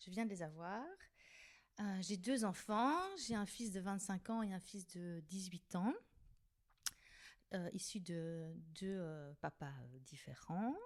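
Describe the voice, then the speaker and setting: At a very slow pace, a woman speaks with long, frequent pauses. Her pitch sits in the medium range and her intonation is lively. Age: 50s. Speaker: director of care homes, podcast guest. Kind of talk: casual chat. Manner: hesitant, many fillers.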